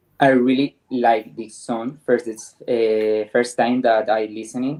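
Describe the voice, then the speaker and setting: In a Spanish accent, the words come out at a fairly slow pace. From Spain. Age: 20s. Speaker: panelist. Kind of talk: casual panel discussion.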